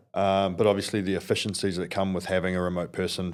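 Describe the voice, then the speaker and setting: A man with a very deep, low pitch and a New Zealand accent. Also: very clean recording, silent background. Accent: Kiwi. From New Zealand, South Auckland. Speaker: construction company founder. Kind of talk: podcast interview. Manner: halting, many fillers and repeats.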